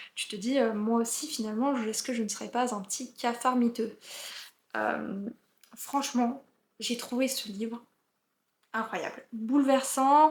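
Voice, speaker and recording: Fairly even in intonation, a woman with a high pitch speaks at a very slow pace. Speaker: book youtuber. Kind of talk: book review. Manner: hesitant, many fillers.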